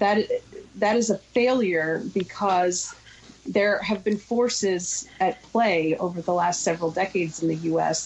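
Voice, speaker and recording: Somewhat breathy speech comes at a fairly slow pace, with very even loudness and ordinary pitch variation. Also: woman, medium pitch for a woman. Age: 40s. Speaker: gun violence prevention advocate. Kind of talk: radio interview.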